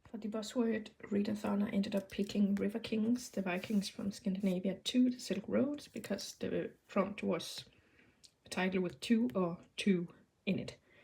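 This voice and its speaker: Medium-pitched woman's voice with vocal fry, a dark, mellow tone, ordinary pitch variation and a moderate pace. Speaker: vlogger. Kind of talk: casual vlog narration. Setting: outdoors in garden. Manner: soft-spoken.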